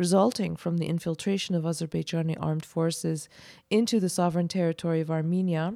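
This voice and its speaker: The voice has a dark, mellow tone and a dry, close sound with no echo. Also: woman. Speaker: news podcast co-host. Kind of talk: news reading.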